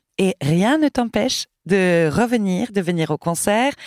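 In a very clean recording with a silent background and a dry, close sound with no echo, a woman speaks at medium pitch with lively intonation in an unremarkable speaking voice. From Sweden. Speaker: choir director. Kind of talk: interview.

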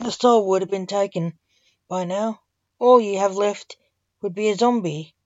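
Quiet surroundings and an unforced reading voice

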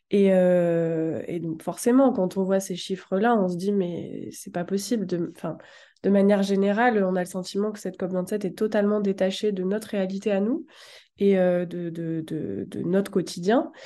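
A woman's medium-pitched, dark, mellow voice at a fairly slow pace, with ordinary pitch variation against a quiet background. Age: 20s. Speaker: communications officer and feminist activist. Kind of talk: casual chat.

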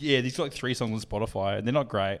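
A medium-pitched man with a New Zealand accent. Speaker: podcast co-host. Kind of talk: casual chat.

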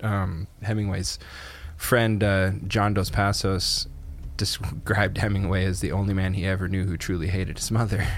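A man's plain, everyday voice, fairly low-pitched, with fairly even intonation at a moderate pace. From Canada. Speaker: podcast co-host. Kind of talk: casual chat.

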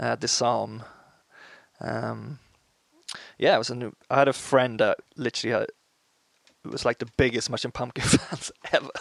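In a Swedish accent, a man speaks with long, frequent pauses, the sound dry and close with no echo. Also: moderate pace. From Sweden, small town. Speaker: musician. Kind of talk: casual interview chat.

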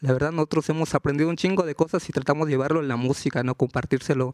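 A man's fairly high voice, a plain, everyday voice, with fairly even intonation and a dry, close sound free of echo. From Juchitán, Oaxaca, Mexico. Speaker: rapper. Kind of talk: live panel interview. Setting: stage with audience at book fair.

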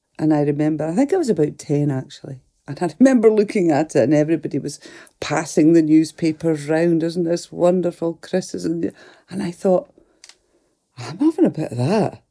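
In a Scottish Highland accent, a woman talks at a fairly quick pace in a dark, mellow tone, her pitch fairly low with ordinary variation. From Scottish Highlands (Fort William, Lochaber). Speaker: musician and actor. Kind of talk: casual chat. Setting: studio.

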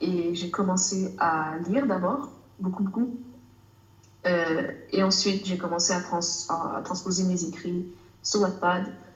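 A woman's medium-pitched voice with ordinary pitch variation, a fairly slow pace and long, frequent pauses, amid audible room echo and noticeable background noise. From Canada. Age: 20s. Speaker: author and student. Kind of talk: casual interview. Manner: hesitant, many fillers.

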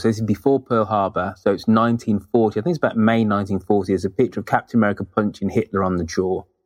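Someone speaks with a British accent against a quiet background. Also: man. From Britain. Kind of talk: casual interview chat. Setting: remote internet call.

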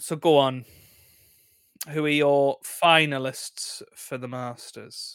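Pausing long and often, a man with fairly high pitch speaks very slowly in a flat monotone. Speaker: YouTuber and podcast co-host. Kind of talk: casual comedic chat podcast.

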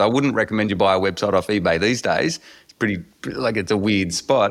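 A man speaks with an Australian accent. His pace is fairly quick and his intonation lively. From rural Australia. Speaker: entrepreneur. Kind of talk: interview.

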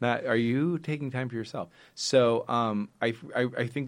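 A man with an American accent in a plain, everyday voice, at a moderate pace with fairly even intonation and a quiet background. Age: 40s. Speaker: nonprofit founder. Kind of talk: interview about personal grief.

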